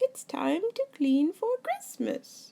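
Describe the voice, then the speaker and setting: A woman puts on a squeaky, high-pitched character voice with very wide pitch swings. The sound is dry and close, with no echo. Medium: read story.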